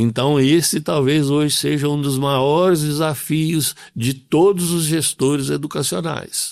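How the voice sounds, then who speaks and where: On a very clean recording with a silent background, a man speaks at a very slow pace with hardly any pauses. His voice is fairly high-pitched, with ordinary pitch variation. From Brazil, Governador Valadares, Minas Gerais. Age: 70s. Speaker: school administrator. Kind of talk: interview.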